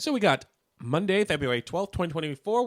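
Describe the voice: His pitch shifts in an ordinary way. The man keeps to a moderate pace.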